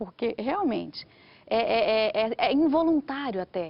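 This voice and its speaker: A woman with a Brazilian accent. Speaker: writer. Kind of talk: TV interview. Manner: animated.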